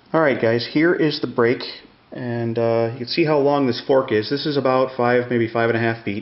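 A man talks at a moderate pace and medium pitch, with fairly even intonation. Audible room echo surrounds his voice.

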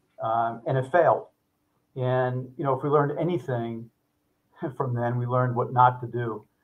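Using long, frequent pauses, a man with an American accent talks at a moderate pace and with fairly even intonation. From US Northeast. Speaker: home services company CEO; guest. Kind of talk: interview. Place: office.

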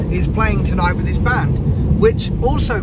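A man's voice, dry with no echo, over loud background noise. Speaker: vlogger. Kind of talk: casual vlog chat. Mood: cheerful, joking. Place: car. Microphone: phone near.

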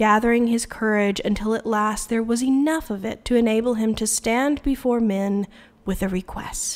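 Reading in a voice without strain

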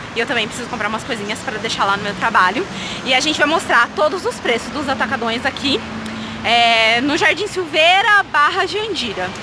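With noticeable background noise but a dry sound with no echo, a woman uses a raised, projected voice and lively intonation. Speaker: vlogger. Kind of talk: casual vlog chat. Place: street. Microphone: phone near.

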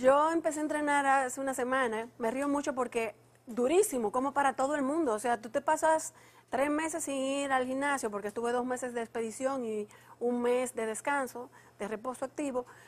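Here a woman speaks at a fairly quick pace in a high voice. Her pitch variation is ordinary. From Dominican Republic. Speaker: mountaineer; guest. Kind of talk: TV interview. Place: studio. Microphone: lapel.

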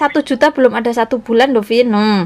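A woman at a fairly high pitch and fairly quick pace, slightly mellow in tone, with ordinary pitch variation

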